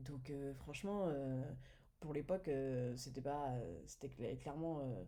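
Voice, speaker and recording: Very slowly and in a very deep, low pitch, a woman speaks with a dark, mellow tone and ordinary pitch variation, her voice carrying audible room echo. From France. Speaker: entrepreneur, business manager. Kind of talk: podcast interview. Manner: hesitant, many fillers.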